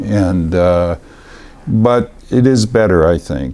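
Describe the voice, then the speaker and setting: A man speaks in a very deep, low pitch with lively intonation. Noticeable background noise can be heard. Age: 70s. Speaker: talk show host. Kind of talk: casual interview chat. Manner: halting, many fillers.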